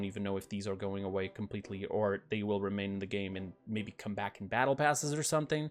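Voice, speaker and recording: A man talks with typical pitch movement while music plays behind him. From Portugal. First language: Portuguese. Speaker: gaming YouTuber. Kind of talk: casual commentary on game patch notes. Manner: casual, with fillers and self-corrections.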